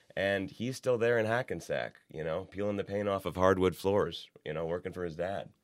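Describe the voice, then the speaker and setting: A man with a Midwestern American accent and fairly low pitch speaks with hardly any pauses and ordinary pitch variation in a very clean recording with a silent background. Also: moderate pace. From Ohio, Youngstown. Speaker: magazine editor. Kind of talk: casual chat.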